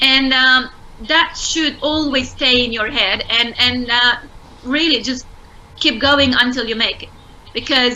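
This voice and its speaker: A woman with a Romanian accent speaks at a high pitch with fairly even intonation, and background noise is noticeable. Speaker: entrepreneur. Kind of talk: interview.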